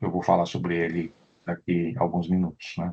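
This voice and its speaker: A man against a quiet background. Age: 60s. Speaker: professor. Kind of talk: lecture. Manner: halting, with frequent fillers and repetitions.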